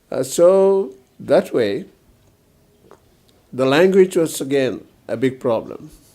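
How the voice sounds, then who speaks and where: Pausing long and often, a man with a northeastern Indian accent speaks fairly slowly at a fairly high pitch. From Northeast India, Mizoram. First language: Mizo. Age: old. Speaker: retired police officer and politician. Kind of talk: interview. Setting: at home. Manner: hesitant, with many fillers.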